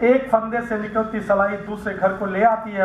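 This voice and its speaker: A man speaks at a fairly slow pace. His intonation is fairly even, and the room echo is audible. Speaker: poet. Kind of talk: poetry reading at a literary gathering. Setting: radio broadcast recording of a poetry event. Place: stage. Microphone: headset.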